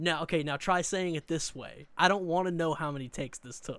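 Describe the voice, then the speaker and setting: Over a silent background in a very clean recording, a man with a Southern US accent talks at a fairly quick pace in a high voice with fairly even intonation. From US South, Eastern Arkansas. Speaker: podcast co-host. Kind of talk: casual chat.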